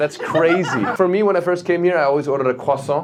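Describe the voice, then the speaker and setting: An animated voice at a very fast pace, with noticeable background noise. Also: man. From Germany. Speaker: stand-up comedian. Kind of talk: stand-up. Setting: stage with audience.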